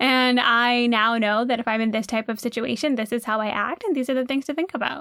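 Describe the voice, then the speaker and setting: On a very clean recording with a silent background, a woman with a high pitch and a bright, sharp tone talks at a fairly quick pace with hardly any pauses, very even loudness and ordinary pitch variation. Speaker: podcast co-host. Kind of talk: casual chat. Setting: recorded in a closet.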